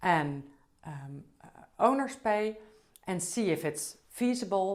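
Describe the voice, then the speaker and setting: A woman speaks in a Dutch accent at a very slow pace. Her pitch swings very wide. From Netherlands. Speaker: business trainer, CEO. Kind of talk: conference talk. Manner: slightly halting.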